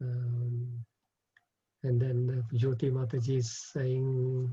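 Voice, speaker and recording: A dark, mellow tone, somewhat breathy. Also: man, medium pitch for a man. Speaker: spiritual teacher. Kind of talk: religious class with Q&A over video call. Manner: fast when excited.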